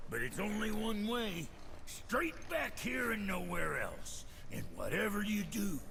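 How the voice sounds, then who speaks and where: Loud background noise sits behind a man doing a put-on character voice at a fairly slow pace. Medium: game stream. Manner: crude, brash.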